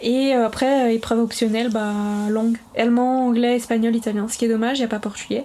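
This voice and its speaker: With noticeable background noise behind her, a woman talks very fast at a fairly high pitch in a monotone, flat intonation. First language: Portuguese (speaking French). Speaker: primary school teacher. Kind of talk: casual interview.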